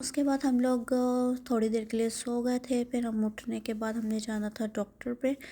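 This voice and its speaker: With a dark, mellow tone, a woman speaks at a fairly slow pace in a fairly high pitch and a monotone, flat intonation. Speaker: vlogger. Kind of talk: vlog voiceover narration.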